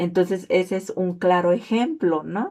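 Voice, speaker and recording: A woman's medium-pitched voice, dark and mellow in tone, at a very slow pace. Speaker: student. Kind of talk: class presentation video.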